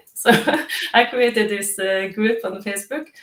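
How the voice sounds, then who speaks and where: A woman speaks with a non-native accent at a fairly high pitch. Her pitch varies in an ordinary way. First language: not English. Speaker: declutter coach. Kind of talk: live interview. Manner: halting, many fillers.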